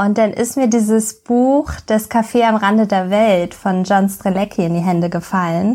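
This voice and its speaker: A woman speaks at a medium pitch and a moderate pace, with fairly even intonation. The recording is very clean, with a silent background. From Hamburg, Germany. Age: 30s. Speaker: podcast co-host, blogger. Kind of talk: casual podcast introduction.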